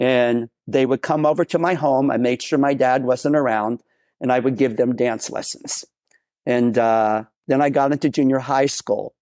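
An unremarkable speaking voice with an American accent, at a moderate pace, with fairly even intonation and very even loudness. The sound is dry and close with no echo, in a very clean recording with a silent background. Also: man, medium pitch for a man. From Texas. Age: 60s. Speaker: professional dancer and dance company director. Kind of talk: interview testimony.

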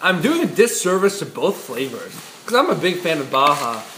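High pitch from a man, with audible room echo and noticeable background noise. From US East Coast. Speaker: podcast co-host. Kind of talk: casual chat. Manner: animated.

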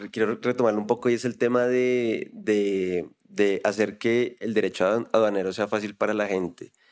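A normal speaking voice with ordinary pitch variation, moving at a moderate pace. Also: man. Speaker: podcast host. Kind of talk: casual interview.

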